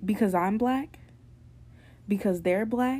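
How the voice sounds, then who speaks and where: In an American accent, a woman speaks with lively intonation, a somewhat breathy quality and a dark, mellow tone. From New York. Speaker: podcast host. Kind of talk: monologue podcast episode.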